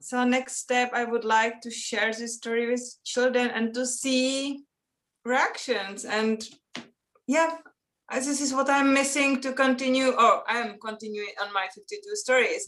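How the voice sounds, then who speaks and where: A woman with a Czech accent speaks at a high pitch. Her pace is fairly slow and her pitch varies in an ordinary way. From Czech Republic. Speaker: children's author and illustrator. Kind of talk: interview. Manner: halting, non-native phrasing.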